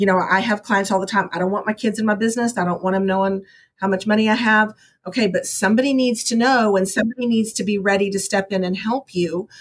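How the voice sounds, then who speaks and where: A somewhat breathy woman with an American accent talks at a very fast pace in a medium pitch, with very even loudness and fairly even intonation. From Texas. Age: 50s. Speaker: realtor. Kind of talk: interview.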